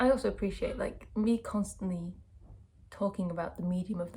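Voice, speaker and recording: A woman speaks at a fairly quick pace. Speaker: vlogger and sound artist. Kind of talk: casual vlog talk to camera. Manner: relaxed, informal.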